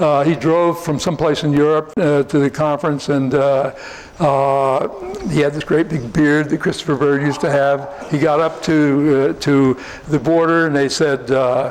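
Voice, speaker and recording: Over noticeable background noise, a man with an American accent and a fairly high pitch talks at a moderate pace, his loudness very even and his intonation monotone and flat. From US Northeast, New Jersey. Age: 70s. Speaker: researcher and polygraph expert. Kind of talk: conference talk and Q&A. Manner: halting, many fillers.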